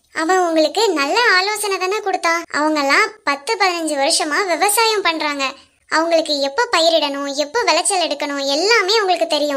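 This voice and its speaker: Using a cartoonish character voice pitched extremely high, a woman speaks at a moderate pace with lively intonation. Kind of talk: puppet show drama.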